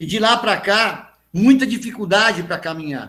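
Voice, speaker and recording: At a very slow pace, a man speaks in a raised, projected voice. His pitch is high and his tone bright and sharp. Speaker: pastor. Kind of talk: sermon.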